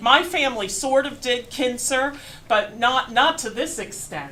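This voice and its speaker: A woman speaks loudly in a high-pitched voice with an American accent. Audible room echo and noticeable background noise surround her. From Pennsylvania, western Berks County. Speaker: museum curator, history lecturer. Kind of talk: lecture. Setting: large room with audience, microphone.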